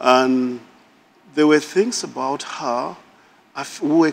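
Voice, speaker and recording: At a fairly slow pace, a man with a northern Nigerian accent speaks in a fairly high voice with lively intonation. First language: Hausa. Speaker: married guest on a couples show. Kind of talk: casual chat.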